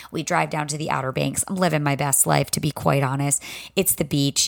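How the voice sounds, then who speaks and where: A woman speaks with a very deep, low pitch and vocal fry. Her pace is moderate. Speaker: podcast host and fitness instructor. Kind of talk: solo podcast monologue. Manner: casual, chatty.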